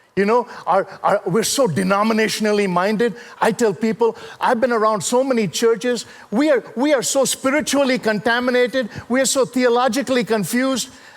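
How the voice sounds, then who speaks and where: This man's voice sits extremely high, with ordinary pitch variation, an animated tone and a fairly quick pace over noticeable background noise. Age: 60s. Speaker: preacher and motivational speaker. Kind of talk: sermon.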